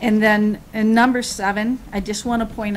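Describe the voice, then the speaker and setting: There's noticeable background noise as a woman in an American accent talks at a fairly slow pace with a fairly high pitch. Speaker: city assessor. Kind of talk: public meeting remarks. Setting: city commission meeting. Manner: halting.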